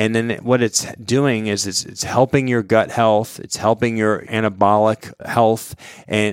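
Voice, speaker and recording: Using an ordinary speaking voice, a man speaks at medium pitch and a fairly slow pace with fairly even intonation. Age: 40s. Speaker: fitness podcast host. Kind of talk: casual interview. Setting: studio.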